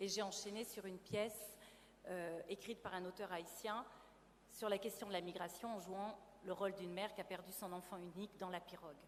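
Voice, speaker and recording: A woman talks at a fairly quick pace. Her medium-pitched voice is monotone and flat. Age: 50s. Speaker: actress and theatre producer. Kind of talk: testimony.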